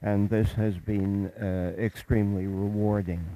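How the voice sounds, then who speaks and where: A man's dark, mellow tone with a Canadian accent. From Montreal, Quebec, Canada. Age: 80s+. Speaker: guest lecturer. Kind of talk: lecture. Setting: chapel. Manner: halting.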